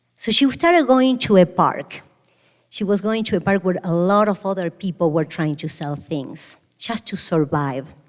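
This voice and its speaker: A woman with an Argentine accent, medium pitch and lively intonation. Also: moderate pace. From Argentina, Buenos Aires. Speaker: restaurant founder and CEO. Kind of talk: keynote speech. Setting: stage with audience.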